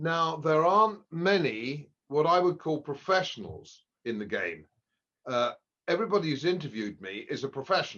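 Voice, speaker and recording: Against a quiet background, a man with an English accent speaks in a fairly high pitch with lively intonation. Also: moderate pace. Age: 70s. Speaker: economist. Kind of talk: podcast interview. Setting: at home. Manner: halting.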